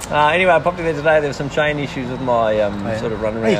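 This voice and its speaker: A man with an Australian accent talks at a very fast clip, his pitch fairly high. Noticeable background noise runs behind him. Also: ordinary pitch variation. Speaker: podcast co-host.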